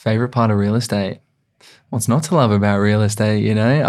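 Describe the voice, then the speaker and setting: A man with an Australian accent talks at a fairly quick pace and fairly low pitch, with ordinary pitch variation, on a very clean recording with a silent background. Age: 20s. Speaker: real estate agent. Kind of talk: casual chat. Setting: studio.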